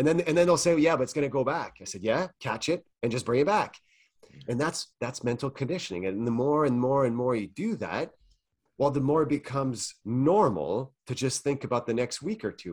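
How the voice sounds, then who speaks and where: Lively intonation in a Quebec accent, at a fairly quick pace. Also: man, medium pitch for a man. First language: French. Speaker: mental performance coach. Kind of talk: interview.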